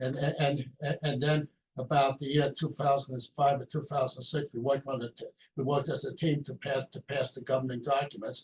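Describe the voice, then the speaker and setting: Somewhat breathy and fairly high-pitched, a man talks at a fairly quick pace in a flat monotone, with a dry, close sound and no echo. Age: 80s+. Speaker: community association board member. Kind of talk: meeting self-introduction. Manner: halting, many repeated words.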